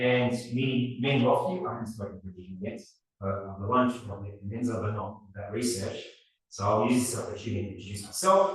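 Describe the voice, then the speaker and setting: A man speaks at a moderate pace with a medium-pitched voice, and the room echo is audible. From Australia, partly raised in Serbia. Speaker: robotics professor. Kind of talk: lecture. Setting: seminar talk with audience.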